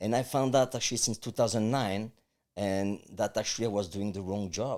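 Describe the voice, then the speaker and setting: A man with a strong French accent talks at a fairly quick pace in a fairly low voice with ordinary pitch variation, in a very clean recording with a silent background. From France. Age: 50s. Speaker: life coach. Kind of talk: interview.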